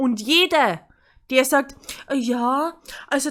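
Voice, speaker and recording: A woman with a Bavarian accent speaks at a high pitch in a very clean recording with a silent background. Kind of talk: opinion rant vlog to camera.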